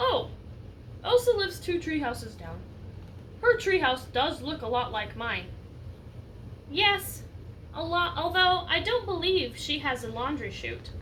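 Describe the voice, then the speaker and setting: A woman speaks at a moderate pace in a put-on character voice. Long pauses come often, and background noise is clearly audible. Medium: read story.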